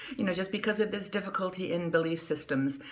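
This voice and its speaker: There is noticeable background noise as a woman talks. Her pitch is fairly low, with ordinary variation. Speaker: news show host. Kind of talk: casual talk to camera, news commentary. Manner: friendly, conversational.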